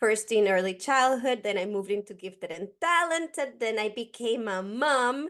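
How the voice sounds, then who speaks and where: In a Costa Rican accent, a woman talks at a moderate pace with hardly any pauses. Her pitch is fairly high and her intonation lively. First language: Spanish. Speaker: educator. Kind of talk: podcast interview.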